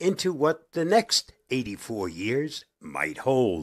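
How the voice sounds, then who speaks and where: A man speaks at a very slow pace at a medium pitch, with vocal fry. His pitch swings very widely, and the recording is very clean with a silent background. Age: 80s+. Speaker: tech video host. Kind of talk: scripted narration.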